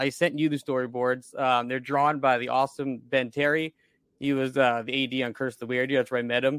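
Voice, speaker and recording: In an American accent, a man of medium pitch speaks in a flat monotone. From Long Island, New York. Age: 20s. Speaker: independent filmmaker and sound engineer. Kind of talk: casual interview chat.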